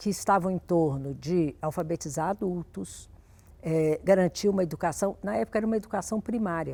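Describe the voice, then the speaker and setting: A woman's fairly low, dark and mellow voice at a moderate pace, with ordinary pitch variation, on a very clean recording with a silent background. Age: 60s. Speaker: education specialist. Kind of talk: interview.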